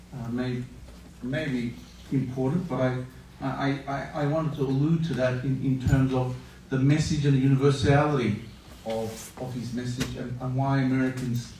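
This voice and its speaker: A man speaks at a moderate pace and medium pitch in a monotone, flat way. Audible room echo and noticeable background noise come through. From Australia. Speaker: interfaith moderator. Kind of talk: panel moderation.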